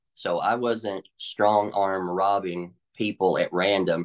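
In a Tennessee accent, a man speaks at a fairly low pitch. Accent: Southern US (Tennessee). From Middle Tennessee, US South. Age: 40s. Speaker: recovered addict sharing testimony. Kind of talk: testimony.

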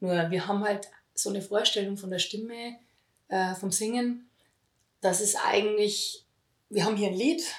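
A woman speaks in a plain, everyday voice at a moderate pace. Her pitch is medium, with ordinary pitch variation. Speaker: voice healing teacher. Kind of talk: interview.

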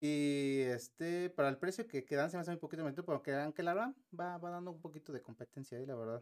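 A man with a Mexican accent talks at a very fast pace with hardly any pauses. His fairly high pitch shows ordinary pitch variation. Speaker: tech podcast co-host. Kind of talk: casual chat.

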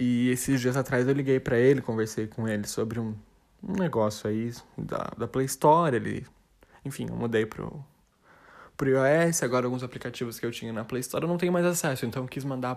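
This man talks at a fairly quick pace with a medium pitch. The recording is very clean, with a silent background. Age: 20s. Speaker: podcaster. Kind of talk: casual monologue. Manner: rambling, halting with repetitions.

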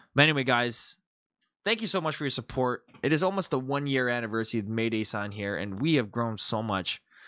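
In a very clean recording with a silent background, a man with a medium-pitched voice talks at a fairly quick pace, his tone animated, bright and sharp, his intonation lively. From Canada. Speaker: YouTuber and TikTok comedy creator. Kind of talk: casual vlog monologue.

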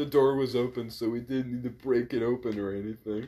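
Reading aloud, plainly

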